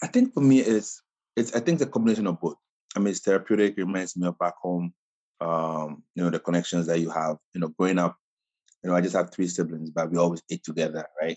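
A man with a Ghanaian accent, very deep, low pitch, ordinary pitch variation and a very fast pace. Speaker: chef and caterer. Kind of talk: casual interview.

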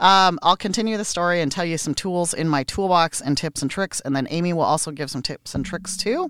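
A woman talks at a fairly quick pace with hardly any pauses, her pitch fairly low. It is a plain, everyday voice with ordinary pitch variation. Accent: American. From United States. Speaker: podcast co-host and massage therapist. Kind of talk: casual chat.

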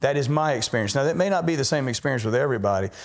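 Recorded very cleanly against a silent background, a man is talking. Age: 50s. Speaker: patient. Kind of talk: testimony.

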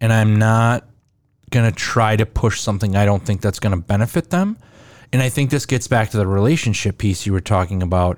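This man has a normal speaking voice, fairly low in pitch with ordinary pitch variation. He talks fairly quickly at very even loudness. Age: 40s. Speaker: podcast host. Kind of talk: casual chat. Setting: in-person recording in Minneapolis.

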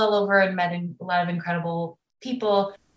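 Medium-pitched speech from a woman with a Midwestern accent, at a fairly quick pace with ordinary pitch variation. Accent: American Midwest. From US Midwest, Chicago area. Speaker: film director and producer. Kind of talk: casual interview.

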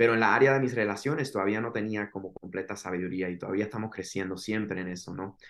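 Very fast, hardly pausing speech from a man with a fairly low voice and ordinary pitch variation. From Miami, Florida, Cuban parents. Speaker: singer-songwriter and worship leader. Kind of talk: testimony.

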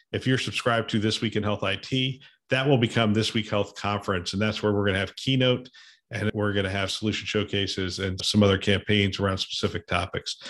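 In an ordinary speaking voice, a man with a fairly low pitch talks at a fairly quick pace against a quiet background. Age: 50s. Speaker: podcast host, former hospital system CIO. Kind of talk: casual panel discussion.

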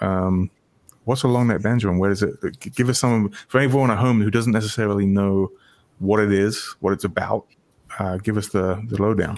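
A man speaks in a normal speaking voice, fairly low-pitched, at a moderate pace. His intonation stays fairly even and his loudness very even. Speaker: show host. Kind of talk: casual interview chat. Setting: video call.

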